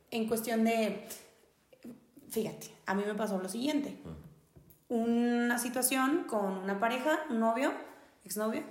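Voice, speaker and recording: A woman with a northern Mexican accent talks at a very slow pace in a fairly high voice with ordinary pitch variation. The room has audible echo and noticeable background noise. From northern Mexico. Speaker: podcast host. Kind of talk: casual chat.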